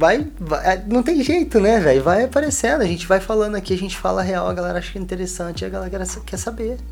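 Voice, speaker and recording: A man talks at a very fast pace with hardly any pauses. Music plays in the background. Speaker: podcast co-host, clothing brand owner. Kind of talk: casual chat. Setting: home studio room.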